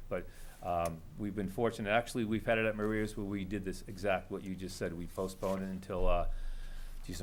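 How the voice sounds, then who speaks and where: A man talks at a very fast pace with a fairly low pitch and fairly even intonation. Audible room echo surrounds his voice. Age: 60s. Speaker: road race organizer. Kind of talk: public meeting testimony.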